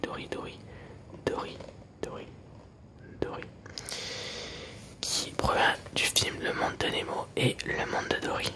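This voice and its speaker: A man whispers very slowly, leaving long, frequent pauses, with noticeable background noise throughout. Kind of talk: casual talk to camera. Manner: whispered.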